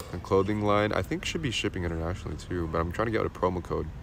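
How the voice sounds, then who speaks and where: A man with an American accent and a very deep, low pitch talks at a very fast pace. His pitch variation is ordinary, and there is audible room echo. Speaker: livestreamer. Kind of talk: casual chat.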